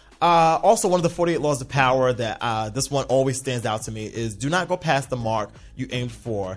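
Over music in the background, a man with a medium pitch talks at a fairly quick pace in an animated tone, with lively intonation and hardly any pauses. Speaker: podcast host. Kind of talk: casual chat.

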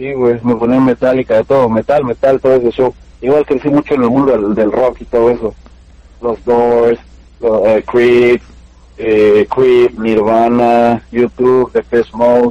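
A man's fairly slow, monotone delivery with flat intonation, a dark, mellow tone and a dry, close sound with no echo. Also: medium pitch for a man. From Mexico, Pachuca, Hidalgo. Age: 20s. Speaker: rapper and reggaeton singer. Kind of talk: casual interview. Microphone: wireless headphones, audio cutting out.

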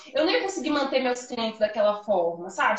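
Audible room echo surrounds a woman speaking at a fairly quick pace with a high pitch and very wide pitch swings. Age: 20s. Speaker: confectioner, small business owner. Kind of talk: casual interview chat. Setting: Instagram live video. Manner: animated.

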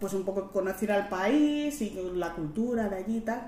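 Amid noticeable background noise and audible room echo, a woman speaks with a Madrid accent. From Madrid, Spain. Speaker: guest. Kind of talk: interview. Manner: animated.

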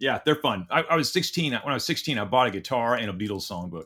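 A man with an American accent, very fast, with a bright, sharp tone and very wide pitch swings, on a very clean recording with a silent background. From Oklahoma. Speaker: leadership coach. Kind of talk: interview conversation.

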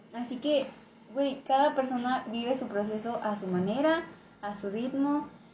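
A woman with a high pitch talks at a fairly slow pace, with ordinary pitch variation. Noticeable background noise and audible room echo surround her voice. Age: 20s. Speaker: guest. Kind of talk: casual chat. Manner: soft-spoken.

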